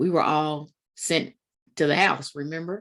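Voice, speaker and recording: A woman speaks in a Kentucky accent at a very deep, low pitch. Her intonation stays fairly even. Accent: country Kentucky. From Kentucky, Woodford County. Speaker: literary event host. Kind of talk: event introduction. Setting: video call.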